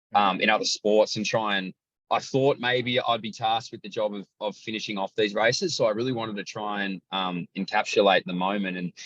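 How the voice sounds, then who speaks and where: In an Australian accent, a man talks at a fairly quick pace with fairly even intonation, the sound dry and close with no echo. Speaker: athletics commentator. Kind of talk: casual chat. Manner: loud.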